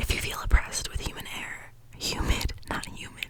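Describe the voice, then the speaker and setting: Noticeable background noise accompanies whispered speech at a moderate pace. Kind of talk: ASMR reading of a dream dictionary. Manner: soft, calm, soothing.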